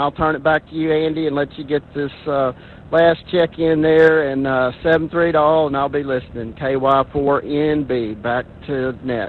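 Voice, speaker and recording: Noticeable background noise accompanies a man with an American accent who speaks at a moderate pace in a fairly high pitch with fairly even intonation. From US South, Arkansas. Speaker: amateur radio operator checking in. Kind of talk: radio net check-in. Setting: amateur radio net.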